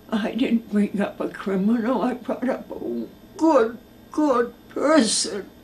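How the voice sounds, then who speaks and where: Her pitch is fairly high with ordinary pitch variation as a woman talks at a very slow pace. Noticeable background noise can be heard. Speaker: mother of a jailed woman, former correctional officer. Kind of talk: interview testimony. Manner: reading aloud a letter.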